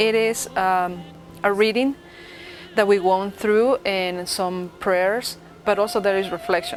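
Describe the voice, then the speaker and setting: Over music in the background, a woman with a Spanish accent talks at a fairly slow pace in a medium pitch with fairly even intonation. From Ecuador. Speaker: interviewee on holiday traditions. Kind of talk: interview testimony.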